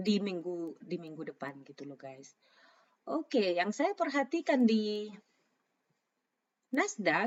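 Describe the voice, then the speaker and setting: The speech moves at a very slow pace with long, frequent pauses. Its pitch swings very widely. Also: woman, medium pitch for a woman. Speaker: trading analyst. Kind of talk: market analysis tutorial. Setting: at home. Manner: casual, mixes English phrases.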